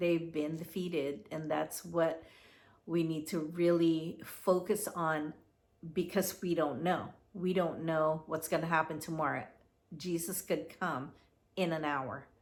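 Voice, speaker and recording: A woman speaks at a fairly slow pace with a fairly low pitch and fairly even intonation, on a very clean recording with a silent background. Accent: Filipino. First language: Tagalog. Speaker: commentary vlogger. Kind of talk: casual monologue. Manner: halting.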